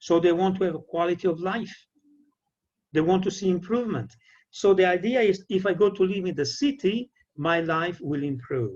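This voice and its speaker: A high-pitched man with an Italian accent at a moderate pace. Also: ordinary pitch variation. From Italy. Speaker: peace educator and trainer. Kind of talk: lecture. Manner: halting.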